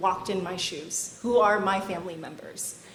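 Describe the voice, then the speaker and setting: Heard through noticeable background noise and audible room echo, a woman at medium pitch speaks at a moderate pace. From Vietnam, raised in US. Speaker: national park volunteer coordinator. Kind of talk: conference lightning talk.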